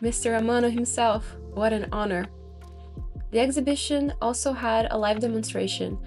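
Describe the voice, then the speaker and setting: Music plays in the background as a woman talks at a moderate pace in an upbeat tone. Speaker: artist. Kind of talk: casual narration over exhibition footage.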